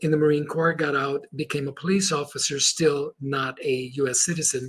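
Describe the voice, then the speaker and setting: A man with a Spanish accent speaks at a moderate pace and fairly high pitch amid noticeable background noise. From Chile, moved to US at seven. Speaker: motivational speaker and Marine veteran. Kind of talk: podcast interview storytelling. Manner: animated.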